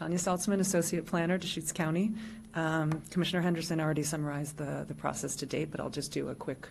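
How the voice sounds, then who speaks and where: Using a very deep, low pitch with vocal fry, a woman talks at a very fast pace with fairly even intonation and long, frequent pauses. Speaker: county planner. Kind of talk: staff report to public board. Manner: soft-spoken.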